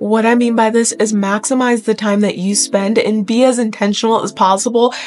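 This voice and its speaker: Keeping her intonation fairly even, a woman talks at a moderate pace. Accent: American. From US Midwest. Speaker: fitness youtuber. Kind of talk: talking-head tutorial. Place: home room.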